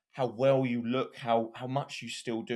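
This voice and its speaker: A man with an English accent speaks at a medium pitch in a very clean recording with a silent background. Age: 20s. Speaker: podcast host. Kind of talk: casual chat.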